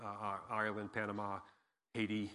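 Medium-pitched male speech in an American accent, bright and sharp in tone, with a quiet background. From Massachusetts, near Cape Cod. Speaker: pastor. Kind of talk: sermon. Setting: church. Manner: animated.

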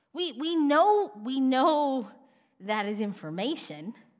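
A woman speaks at a high pitch with very wide pitch swings. Room echo is audible. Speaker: pastor. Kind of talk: sermon.

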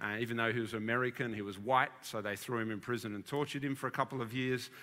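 A man with an Australian accent. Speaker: senior minister. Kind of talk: sermon. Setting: church.

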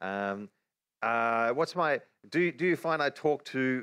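In an Australian accent, a man of medium pitch talks with lively intonation. The sound is dry and close with no echo, on a very clean recording with a silent background. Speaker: Bible teacher. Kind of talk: religious teaching livestream.

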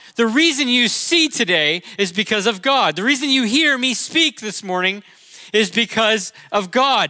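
Over noticeable background noise, a man with a high pitch uses a raised, projected voice and lively intonation at a fairly slow pace. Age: 40s. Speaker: pastor. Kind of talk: sermon. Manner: casual, halting with fillers.

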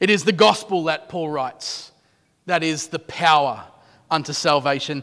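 A man in an Australian accent, fairly high in pitch, with a bright, sharp tone, ordinary pitch variation and a moderate pace. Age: 30s. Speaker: pastor. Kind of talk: sermon. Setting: church.

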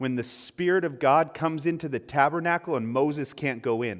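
Fairly high male speech, its pitch moving in an ordinary way, over a silent background in a very clean recording. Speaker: pastor. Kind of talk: sermon. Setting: church. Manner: loud.

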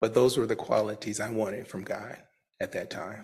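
A somewhat breathy man with a medium pitch and an American accent. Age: 50s. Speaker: recovery speaker. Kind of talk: testimony. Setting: church.

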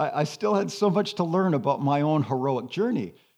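The voice moves at a moderate pace with very wide swings in pitch. The background is quiet. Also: man. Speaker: retired pastor and spiritual director. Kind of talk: sermon-style talk with slides.

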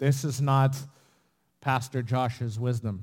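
The pace is fairly slow. Intonation stays fairly even throughout. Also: man. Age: 30s. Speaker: pastor. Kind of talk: sermon. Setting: church.

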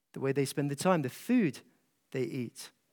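In a Scottish accent, a man talks fairly slowly with lively intonation. His voice sits fairly high. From Scotland, east coast small town. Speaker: pastor. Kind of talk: conference talk to pastors. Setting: stage with audience.

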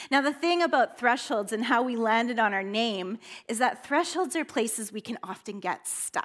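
A woman with an ordinary speaking voice and a Canadian accent, fairly high-pitched, with lively intonation at a moderate pace. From northern British Columbia, Canada. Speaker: guest preacher. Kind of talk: sermon. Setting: church with congregation.

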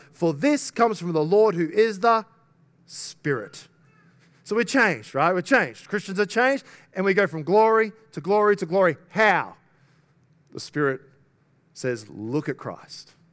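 At a fairly slow pace and with long, frequent pauses, a man speaks in a high voice with very wide pitch swings. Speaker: pastor. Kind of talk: sermon. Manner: conversational, some stumbling repetitions.

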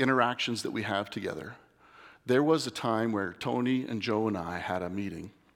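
A man's medium-pitched voice with ordinary pitch variation, on a very clean recording over a silent background. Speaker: lay preacher. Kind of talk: sermon. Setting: church. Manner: nervous, shaky.

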